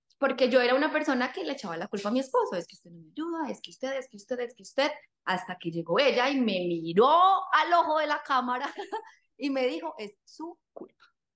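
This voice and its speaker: A woman's high-pitched voice at a fairly quick pace, with very wide pitch swings and big swings in loudness. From Colombia, various cities. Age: 30s. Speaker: fitness coach. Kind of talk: podcast interview.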